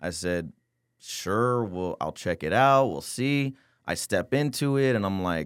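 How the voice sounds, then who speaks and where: A man with an American accent speaks at a fairly slow pace in an unremarkable speaking voice. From San Antonio, Texas. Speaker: tax optimization consultant. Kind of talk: casual interview.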